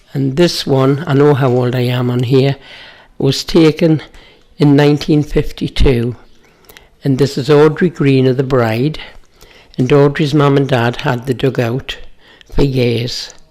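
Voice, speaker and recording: With a dark, mellow tone and a very deep, low pitch, a woman speaks with fairly even intonation and long, frequent pauses. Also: fairly slow pace. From North East England, Chopwell near Gateshead. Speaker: local resident sharing memories. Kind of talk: reminiscing.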